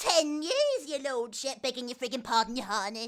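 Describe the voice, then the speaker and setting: Putting on a character voice, a woman speaks high in pitch at a moderate pace. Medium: audio drama. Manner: crude, over-deferential.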